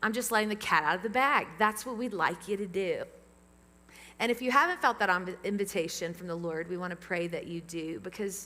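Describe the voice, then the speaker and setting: Animated and bright with a sharp tone, a woman in a Southern US accent speaks at a fairly quick pace and medium pitch, with ordinary pitch variation. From US South. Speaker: pastor. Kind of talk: sermon. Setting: church; PA system. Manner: fast.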